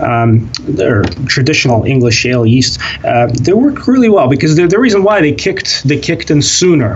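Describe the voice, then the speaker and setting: Amid noticeable background noise and audible room echo, a man with a Russian accent speaks at a fairly high pitch and moderate pace, with very wide pitch swings and very even loudness. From Russia (Soviet Union). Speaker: kvass brewer. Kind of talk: interview. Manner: halting, many fillers.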